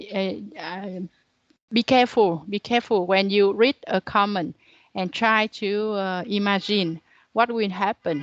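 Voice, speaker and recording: A woman speaks in a medium pitch with a Vietnamese accent. Her intonation stays fairly even against a quiet background. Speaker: university lecturer. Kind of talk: lecture. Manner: halting.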